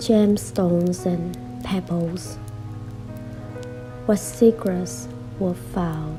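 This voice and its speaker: A woman's very deep, low voice in a calm tone with very wide pitch swings, a very slow pace, long, frequent pauses, and music in the background. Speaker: poet. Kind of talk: poetry reading. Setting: soft background music. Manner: soft, calm.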